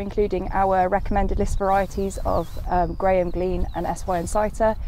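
A woman with an ordinary speaking voice, moderate pace and ordinary pitch variation, dry sound with no echo over light background noise. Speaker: agronomy company specialist. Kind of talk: interview. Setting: outdoors.

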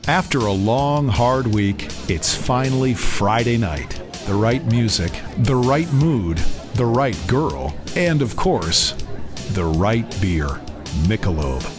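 Clear music plays behind a man speaking at a very slow pace. His medium-pitched voice swings very widely in pitch. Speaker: voice actor. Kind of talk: TV commercial read. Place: studio.

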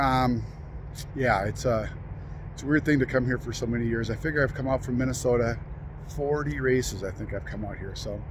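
Amid noticeable background noise, a man speaks fairly quickly with ordinary pitch variation and big swings in loudness, the sound dry with no echo. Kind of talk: casual vlog chat. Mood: wistful, reflective. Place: open country. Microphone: phone near.

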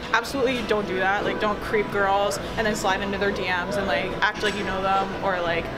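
A woman talks while clear music plays behind her. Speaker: interviewee. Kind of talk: interview answer. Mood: playful, laughing. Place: gym. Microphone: camera far.

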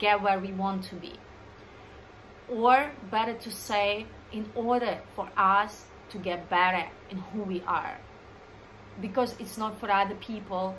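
A woman with a non-native accent speaks at a medium pitch and a fairly slow pace, her intonation fairly even. Her loudness swings widely, with long, frequent pauses over light background noise. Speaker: dancer, choreographer, creative director. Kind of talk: casual talk to camera. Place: home room. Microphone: phone near.

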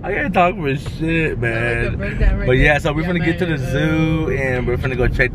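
A man at a fairly quick pace, dry with no echo, amid loud background noise. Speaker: family vlogger. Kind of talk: casual vlog chat. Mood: relaxed, laughing. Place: car. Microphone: phone near.

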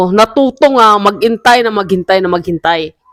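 The speaker talks with a Visayan accent on a very clean recording with a silent background. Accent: Visayan-accented Tagalog. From Visayas, Philippines. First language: Cebuano (speaking Tagalog). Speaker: entrepreneur vlogger. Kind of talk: casual vlog monologue. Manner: halting, many fillers.

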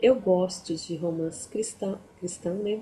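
Light background noise sits behind a woman speaking at a fairly low pitch. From Brazil. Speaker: book youtuber. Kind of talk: book review vlog. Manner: halting. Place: home room. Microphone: webcam.

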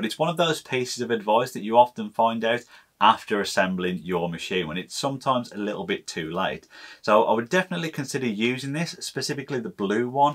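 A man talking at a very fast pace against a quiet background. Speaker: maker channel host. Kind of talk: tutorial. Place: workshop.

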